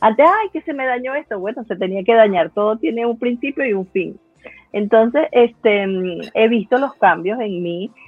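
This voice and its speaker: In an ordinary speaking voice, a woman with a fairly high pitch talks at a moderate pace with lively intonation. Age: 50s. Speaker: laughter therapist. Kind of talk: conference talk.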